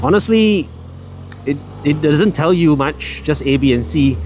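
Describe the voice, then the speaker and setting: A man speaks very slowly in a fairly high pitch, his voice swinging widely up and down, with noticeable background noise behind him. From Malaysia. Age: 40s. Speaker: motovlogger. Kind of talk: casual riding vlog narration. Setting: on a motorbike outdoors.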